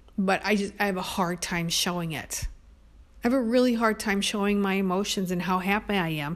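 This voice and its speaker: A woman's unremarkable speaking voice, medium-pitched and fairly quick with fairly even intonation, in a very clean recording with a silent background. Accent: American. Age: 50s. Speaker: podcaster. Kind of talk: personal monologue.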